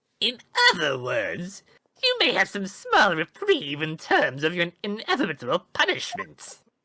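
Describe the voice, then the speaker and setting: This put-on character voice moves at a moderate pace and sits at a middle pitch. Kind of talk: formal courtroom speech. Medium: game stream. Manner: smug and menacing.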